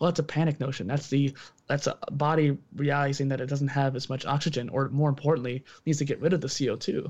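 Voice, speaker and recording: Against a quiet background, a man with a fairly high pitch talks at a very fast pace in a somewhat breathy voice with a monotone, flat intonation. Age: 20s. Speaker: entrepreneur and podcaster, exercise background. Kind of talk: casual interview conversation.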